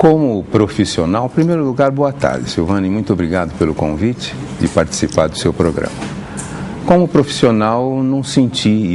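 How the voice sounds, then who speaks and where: Speaking at a moderate pace, a man with a fairly low pitch swings very widely in pitch over noticeable background noise. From Brazil, Santos, São Paulo state. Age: 60s. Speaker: pharmacy professor. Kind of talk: TV interview. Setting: TV studio with audience.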